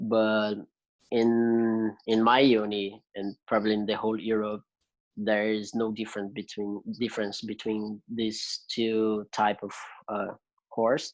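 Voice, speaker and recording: With monotone, flat intonation, a man talks at a fairly slow pace and a fairly low pitch. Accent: Brazilian Portuguese. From Brazil. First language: Portuguese. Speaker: music student. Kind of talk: interview conversation. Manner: hesitant, many fillers.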